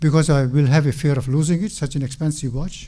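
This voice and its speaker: A man with a dark, mellow tone speaks at a moderate pace and sounds somewhat breathy. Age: 70s. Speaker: mosque speaker. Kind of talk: religious talk.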